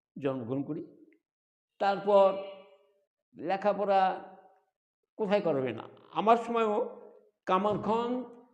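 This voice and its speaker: This is a man's voice. His pitch sits high for a man. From Bangladesh, Sirajganj district (Kamarkhanda). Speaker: retired school teacher. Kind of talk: life-story interview. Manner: halting.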